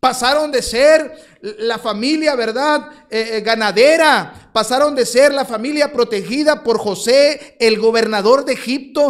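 Hardly pausing at all, a man speaks at a fairly slow pace with an extremely high pitch and ordinary pitch variation. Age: 40s. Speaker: missionary pastor. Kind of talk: sermon.

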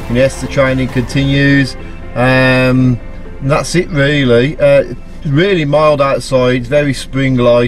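A man speaks with fairly even intonation. Faint music plays behind him. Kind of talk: casual vlog chat. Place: car. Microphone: phone near.

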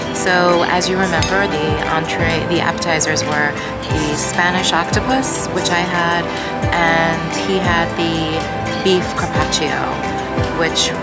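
Loud music plays in the background. Over it, a woman speaks. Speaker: food vlogger. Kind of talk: casual vlog chat review. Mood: enthusiastic, pleased. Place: cafe. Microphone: phone near.

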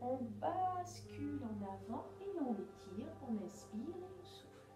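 A woman speaks with clear music in the background. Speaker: exercise instructor. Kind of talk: guided exercise instruction. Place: home room. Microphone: camera far.

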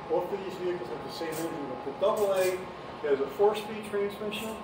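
Clear background noise sits under fast speech that has ordinary pitch variation. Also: man, high pitch for a man.

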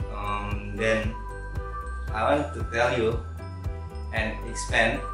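A man speaks at a very slow pace in a very deep, low pitch, with very wide pitch swings. Clear music plays in the background, and the room echo is audible. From Pontianak, West Borneo, Indonesia. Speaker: university student. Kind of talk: class presentation to camera. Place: home room. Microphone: camera far.

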